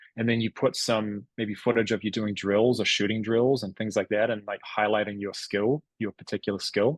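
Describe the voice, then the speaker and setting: Against a quiet background, a man of medium pitch is heard in a dry, close sound with no echo. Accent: New Zealand. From New Zealand. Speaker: former college basketball player. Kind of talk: podcast interview. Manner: animated.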